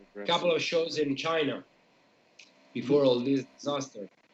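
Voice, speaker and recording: The man's pitch is fairly high, with ordinary variation. His pace is moderate. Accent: Italian. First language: Italian. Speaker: metal band member. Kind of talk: casual chat. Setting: live stream.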